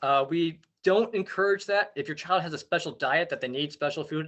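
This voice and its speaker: A man speaks at a fairly high pitch with ordinary pitch variation. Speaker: outdoor education camp coordinator. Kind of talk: parent information meeting presentation. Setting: video call. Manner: fast.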